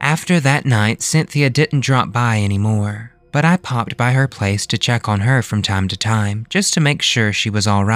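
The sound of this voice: What we hear is reading in an unforced voice.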